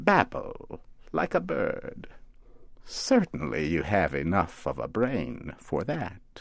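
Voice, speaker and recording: This man speaks at a very slow pace. He uses a put-on character voice. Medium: read story. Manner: doting yet sardonic.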